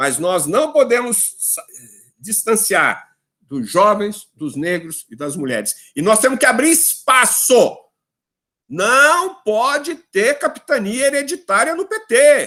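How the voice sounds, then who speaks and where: A raised, projected voice with a bright, sharp tone, very wide pitch swings, big swings in loudness and a very slow pace. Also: man, extremely high pitch for a man. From São Paulo, Brazil. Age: 70s. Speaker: politician. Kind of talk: lecture. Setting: video call. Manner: animated.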